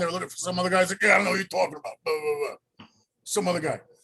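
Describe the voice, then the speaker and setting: The tone is bright and sharp. The speaker talks with an American accent. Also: man. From New York, Queens and Long Island. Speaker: actor and comedian. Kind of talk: casual chat. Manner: animated.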